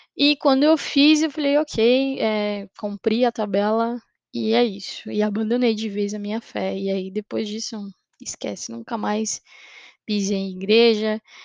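Against a quiet background, a woman talks in a normal speaking voice at a fairly high pitch and fairly slow pace with ordinary pitch variation, the sound dry and close with no echo. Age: 20s. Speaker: podcaster. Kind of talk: personal testimony.

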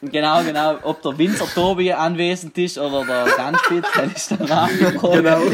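At a moderate pace, a man with a high pitch and fairly even intonation speaks over noticeable background noise. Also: hardly any pauses. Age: 20s. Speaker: fitness enthusiast and aspiring comedian. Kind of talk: casual chat. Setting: video call.

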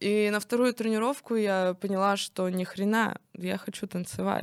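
Speech comes at a very slow pace. The intonation stays fairly even. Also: woman. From Russia, Nizhny Novgorod region (Kstovo). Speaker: stripper. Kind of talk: casual chat.

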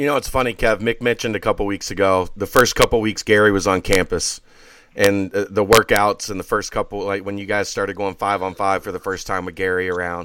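A man with an ordinary speaking voice talks at a fairly quick pace in a fairly low pitch, keeping his intonation fairly even. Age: 40s. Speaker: sports podcast host. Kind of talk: casual chat.

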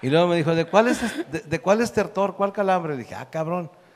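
A man is speaking. His voice carries vocal fry. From northern Mexico. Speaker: comedian. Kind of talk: comedic storytelling.

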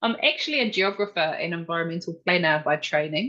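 Against a quiet background, a woman talks with a New Zealand accent. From New Zealand, central North Island. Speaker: researcher. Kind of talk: interview.

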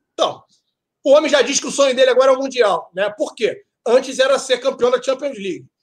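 At a moderate pace, a man speaks in an extremely high pitch with lively intonation. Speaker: football podcast co-host. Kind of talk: casual chat.

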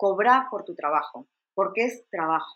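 Recorded dry and close with no echo, a woman at medium pitch makes very wide pitch swings. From Argentina. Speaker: travel blogger and journalist. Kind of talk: interview.

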